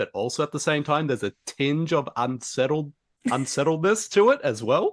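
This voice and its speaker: A man with an Australian accent and a bright, sharp tone, at a moderate pace with ordinary pitch variation, against a quiet background. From rural New South Wales, Australia. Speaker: podcast host. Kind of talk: interview.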